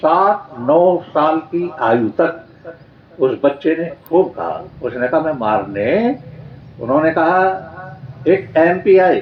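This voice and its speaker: Noticeable background noise is present throughout. Over it, the speech has lively intonation. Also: man. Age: 70s. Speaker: Arya Samaj swami and preacher. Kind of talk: religious discourse.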